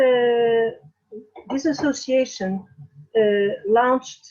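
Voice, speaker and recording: A woman with a Portuguese accent, speaking at a very slow pace. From Portugal. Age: 60s. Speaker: feminist activist. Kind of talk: interview. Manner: halting, many fillers.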